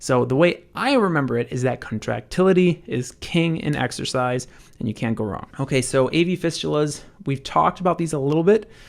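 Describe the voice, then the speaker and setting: On a very clean recording with a silent background, a man talks at a fairly quick pace in a fairly high pitch, his intonation lively. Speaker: medical educator. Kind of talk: lecture. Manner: fast.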